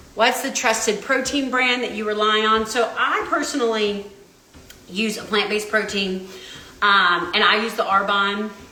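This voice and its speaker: A woman's fairly high, animated voice at a moderate pace, with ordinary pitch variation, audible room echo and noticeable background noise. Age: 40s. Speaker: registered dietitian. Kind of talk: live stream Q&A while walking. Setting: walking on treadmill during livestream.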